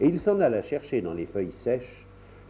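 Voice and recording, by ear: The text is read aloud in a natural voice.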